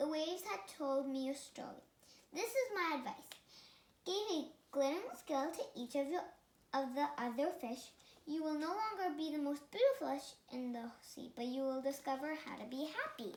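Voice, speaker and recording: A put-on character voice from a woman, pitched high, delivered at a moderate speed. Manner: wise, advising.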